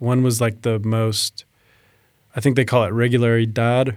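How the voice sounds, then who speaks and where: At a moderate pace, a man talks in a plain, everyday voice at medium pitch. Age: 40s. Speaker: amateur racing cyclist and filmmaker. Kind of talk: casual chat.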